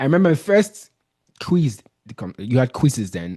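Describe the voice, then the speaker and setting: At a fairly quick pace, a man with a Nigerian accent speaks in a dark, mellow tone at a medium pitch. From Nigeria, Benin City. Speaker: business consultant. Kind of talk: interview. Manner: casual, halting with false starts.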